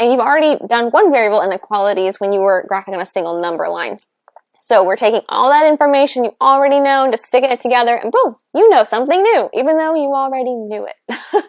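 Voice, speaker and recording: Speaking very fast, a woman uses a high pitch, an animated tone and lively intonation. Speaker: math teacher. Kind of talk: tutorial.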